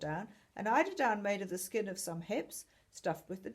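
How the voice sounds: Heard here is a natural reading voice with ordinary pitch variation.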